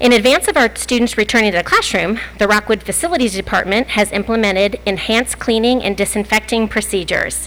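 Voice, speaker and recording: A woman's very fast, nearly pause-free speech, with very even loudness, ordinary pitch variation and vocal fry. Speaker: school district administrator. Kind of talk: prepared statement at board meeting. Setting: public board meeting.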